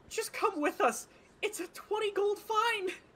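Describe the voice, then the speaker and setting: Squeaky and extremely high-pitched, a man puts on a character voice. His pace is moderate. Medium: actual play. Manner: weary, insistent.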